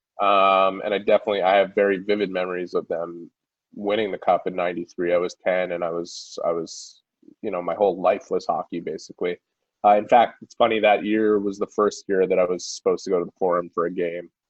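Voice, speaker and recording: A man speaks with a Montreal accent. His pace is very fast. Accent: Montreal English Canadian. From Quebec, Montreal (Town of Mount Royal). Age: 30s. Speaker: hockey reporter. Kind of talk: interview.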